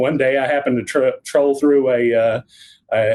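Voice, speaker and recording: At a fairly quick pace, a man talks with a slight Southern US accent. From Tennessee. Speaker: fishing author and guide. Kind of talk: podcast interview.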